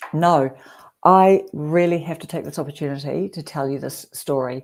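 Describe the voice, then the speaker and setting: A woman with a New Zealand accent speaks in a very deep, low voice, her loudness swinging widely while her intonation stays fairly even. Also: moderate pace, very clean recording, silent background. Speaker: YouTube creator hosting a livestream. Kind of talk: casual chat.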